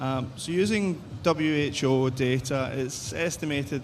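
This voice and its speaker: Noticeable background noise and audible room echo around a man's voice of ordinary pitch variation. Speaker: behavioural psychologist, researcher. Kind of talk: conference presentation. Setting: conference stage with audience and translators.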